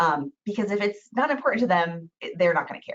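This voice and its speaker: A woman speaks at a fairly quick pace. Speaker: real estate trainer. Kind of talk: webinar training. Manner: fast.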